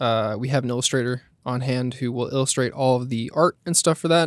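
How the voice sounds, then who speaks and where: A man with an American accent and an unremarkable speaking voice, medium pitch, fairly quick pace, dry close sound with no echo. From California, Monterey County. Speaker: video editor. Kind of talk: casual interview.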